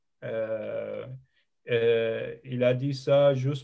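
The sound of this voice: A man talks with vocal fry. His tone is dark and mellow.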